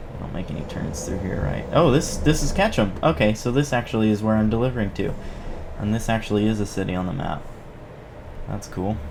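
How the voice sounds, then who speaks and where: A man talks at a fairly quick pace with lively intonation and a fairly low pitch. Audible room echo and noticeable background noise surround him. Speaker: gaming YouTuber. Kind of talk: gameplay commentary. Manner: halting, stuttering, many fillers.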